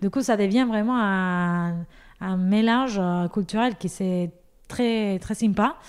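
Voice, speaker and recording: Speaking at a very slow pace, a woman with a medium pitch and ordinary pitch variation is heard in a very clean recording with a silent background. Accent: Spanish. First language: Spanish (speaking French). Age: 30s. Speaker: pastry shop owner. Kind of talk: podcast interview. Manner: halting, many fillers.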